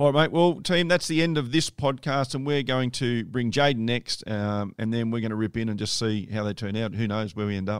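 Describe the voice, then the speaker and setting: With an Australian accent, a man talks at a fairly quick pace with hardly any pauses. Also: medium pitch for a man, ordinary pitch variation. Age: 40s. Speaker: podcast host. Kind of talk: casual chat.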